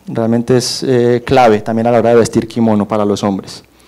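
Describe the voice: With a dark, mellow tone and little pitch movement, a man speaks at a medium pitch and a moderate pace.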